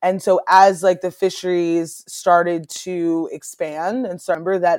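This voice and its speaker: The recording is very clean, with a silent background. A woman with an unremarkable speaking voice and a fairly low pitch speaks at a moderate pace with fairly even intonation. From Maryland Eastern Shore. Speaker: aquaculture nonprofit founder. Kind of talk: interview.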